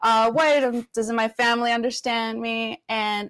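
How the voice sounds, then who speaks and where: In a Spanish accent, a woman speaks at a fairly high pitch, the sound dry and close with no echo. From Venezuela. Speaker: community advocate and educator. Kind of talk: interview.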